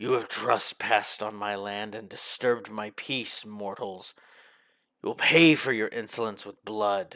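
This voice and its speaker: A man growls in a put-on character voice. It is raspy and fairly low-pitched. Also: moderate pace. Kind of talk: haughty, archaic. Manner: snarling, menacing.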